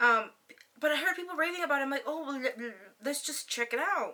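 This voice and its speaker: A woman speaks in a high, raised, projected voice. Her pitch swings very widely. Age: 30s. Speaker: YouTube vlogger. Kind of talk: casual chat. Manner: fast; animated.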